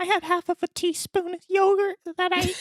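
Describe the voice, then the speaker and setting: A woman uses a put-on character voice that is squeaky and extremely high, with monotone, flat intonation. The sound is dry and close with no echo. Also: moderate pace. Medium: game stream. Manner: brash, crude, combative.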